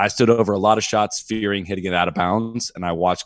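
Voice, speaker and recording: This man talks with a Midwestern accent, his pitch fairly low. The recording is very clean with a silent background, and the sound is dry and close with no echo. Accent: General American (Midwest). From Ohio, US Midwest. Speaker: golf podcast host. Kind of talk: casual chat.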